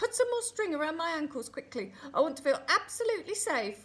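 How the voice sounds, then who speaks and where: Putting on a squeaky character voice, a woman talks at a fairly quick pace, her extremely high pitch making very wide swings. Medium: read story.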